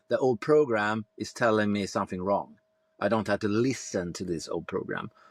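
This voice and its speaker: Recorded very cleanly with a silent background and a dry, close sound with no echo, a man with a Swedish accent speaks at a moderate pace and fairly low pitch with ordinary pitch variation. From Sweden. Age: 50s. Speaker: former police tactical leader, men's coach. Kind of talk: podcast interview. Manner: halting.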